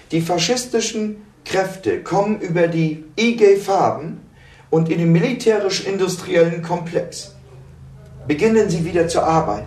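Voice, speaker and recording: A man with a high pitch speaks fairly slowly, with long, frequent pauses and ordinary pitch variation. Audible room echo surrounds his voice. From Germany. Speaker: political activist. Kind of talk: interview via interpreter.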